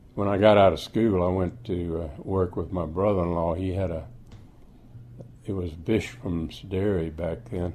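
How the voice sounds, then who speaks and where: A man with an American accent and a very deep, low pitch speaks at a fairly slow pace in a dark, mellow tone with ordinary pitch variation. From Florida, United States. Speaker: retired dairy milkman. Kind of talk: oral history interview answer.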